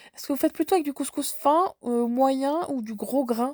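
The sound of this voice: Dry and close with no echo, a woman's high-pitched voice carries a dark, mellow tone, ordinary pitch variation and a moderate pace.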